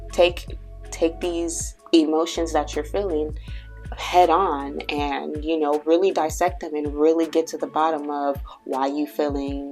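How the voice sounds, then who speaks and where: A woman talks at a fairly slow pace while music runs in the background. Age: 20s. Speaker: tarot and astrology reader. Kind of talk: casual spiritual reading talk to camera. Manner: rambling, conversational.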